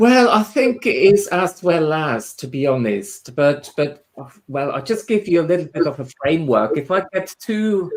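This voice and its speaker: A man speaks with a Swiss German accent. His pitch is high and swings very widely. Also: moderate pace. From Switzerland, Swiss German part. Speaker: spiritual medium and tutor. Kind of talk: interview chat. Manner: halting, many repetitions.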